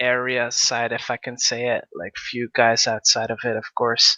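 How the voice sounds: The tone is bright and sharp, delivered at a fairly slow pace. The sound is dry and close, with no echo. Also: man.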